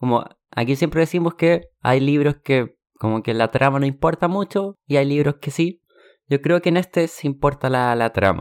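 A man with a plain, everyday voice, fairly high in pitch, speaks at a moderate pace with ordinary pitch variation in a very clean recording with a silent background and a dry, close sound with no echo. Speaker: podcast host, book club. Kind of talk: casual chat.

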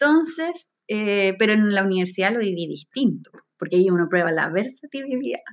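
A woman speaks at a fairly quick pace in a medium pitch, her voice making very wide pitch swings. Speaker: podcast co-host. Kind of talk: casual chat.

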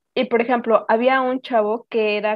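A woman's high voice moves at a fairly slow pace, its intonation fairly even. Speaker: podcast co-host. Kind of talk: casual chat.

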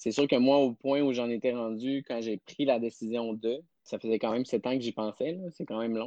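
Fairly quick and fairly even in intonation, a man with a dark, mellow tone speaks in a dry, close sound with no echo. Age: 30s. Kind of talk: interview.

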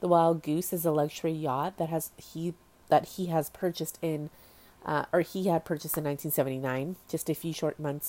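With an American accent, a woman speaks in a very deep, low, monotone voice at a moderate pace, in a very clean recording with a silent background. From US West Coast, Orange County, California. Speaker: podcast host. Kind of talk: casual solo podcast monologue. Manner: casual, filler-heavy with ums and likes.

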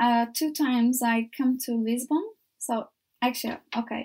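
A woman with a Turkish accent, high-pitched and fairly even in intonation, on a very clean recording with a silent background. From Turkey, Izmir. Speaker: volunteer. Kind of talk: interview. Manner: halting.

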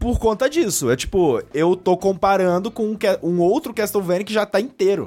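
Music runs in the background. The speaker's intonation is lively. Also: man. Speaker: guest podcaster. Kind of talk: casual chat.

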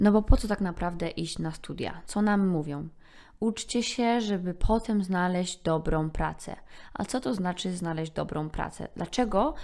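At a moderate pace, a woman with an ordinary speaking voice talks at a medium pitch with ordinary pitch variation, in a very clean recording with a silent background. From Poland. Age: 20s. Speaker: podcaster. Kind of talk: solo monologue podcast.

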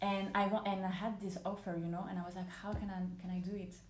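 A woman talks at a very fast pace with a French accent. Noticeable background noise and audible room echo are present. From France, Paris. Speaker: podcast guest. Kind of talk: casual chat.

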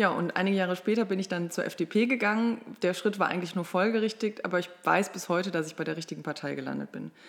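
A woman's fairly low voice, with ordinary pitch variation, rushes along at a very fast pace. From Ruhr area, Germany (Mülheim an der Ruhr). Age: 30s. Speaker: state politician. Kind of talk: political interview.

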